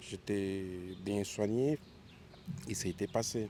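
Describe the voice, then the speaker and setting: A man's very slow delivery, fairly low in pitch, with fairly even intonation and a dark, mellow tone. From Switzerland, Geneva. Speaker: passerby interviewee. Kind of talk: street interview.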